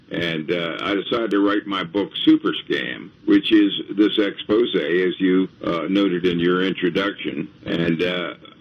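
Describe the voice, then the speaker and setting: A man with a very deep, low pitch talks at a fairly slow pace with hardly any pauses and ordinary pitch variation over noticeable background noise. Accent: American. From Baltimore, Maryland. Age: 80s+. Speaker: author and tax protest activist. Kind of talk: radio interview. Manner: halting, many fillers.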